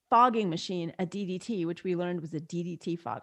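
A woman with an American accent, a plain, everyday voice, medium pitch and ordinary pitch variation, against a quiet background. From New York. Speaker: physician and midwife. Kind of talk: interview.

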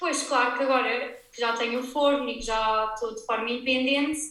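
A woman's raised, projected voice, high-pitched with a bright, sharp tone, fairly even intonation, a fairly quick pace, and audible room echo. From Portugal, Algarve. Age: 20s. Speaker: ceramics brand owner. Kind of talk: interview. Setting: her studio, remote recording.

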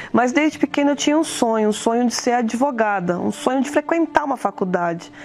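The speech moves at a fairly quick pace with lively intonation over noticeable background noise. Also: woman, high pitch for a woman. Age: 50s. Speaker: lawyer giving church testimony. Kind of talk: testimony.

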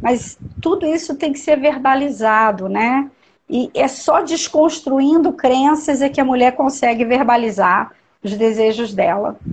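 Speaking at a fairly slow pace, a woman uses a high pitch. Her pitch varies in an ordinary way. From Niterói, Rio de Janeiro state, Brazil. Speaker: doula and perinatal educator. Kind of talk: casual interview on a live stream.

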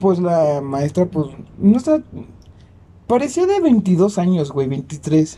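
In a Mexican accent, a man speaks at a very slow pace and a high pitch, in a dark, mellow tone with long, frequent pauses. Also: lively intonation. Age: 20s. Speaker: podcast co-host. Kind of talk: casual chat.

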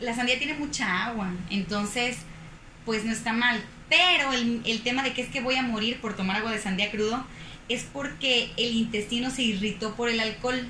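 The intonation is fairly even. Audible room echo and noticeable background noise are present. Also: woman, fairly high pitch for a woman, moderate pace. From Mexico, Guadalajara, Jalisco (Zapopan). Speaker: sports nutritionist. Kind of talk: casual interview.

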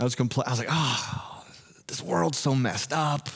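Speaking at a fairly slow pace, a man has a somewhat breathy voice. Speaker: pastor. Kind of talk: sermon. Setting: church.

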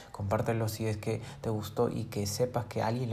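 Amid noticeable background noise and audible room echo, a man talks fairly quickly in a flat, fairly low monotone. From Peru. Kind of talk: motivational monologue.

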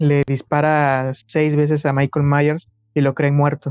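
A man with a Mexican accent talks at a fairly slow pace in a fairly high pitch. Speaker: film podcast guest. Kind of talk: casual chat.

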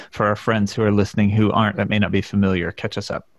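A man with an American accent, fairly low in pitch, at a very fast pace. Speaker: podcast host. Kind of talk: casual podcast discussion.

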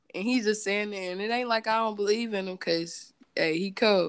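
This is a woman with an American accent and an unremarkable speaking voice, pitched fairly high with ordinary pitch variation. She talks at a fairly quick pace over a very clean recording with a silent background. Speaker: singer and photographer. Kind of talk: casual interview.

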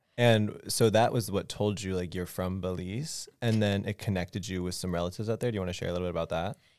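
On a very clean recording with a silent background, a man with a very deep, low pitch speaks at a very fast pace, with fairly even intonation and hardly any pauses. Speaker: student podcast host. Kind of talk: casual chat.

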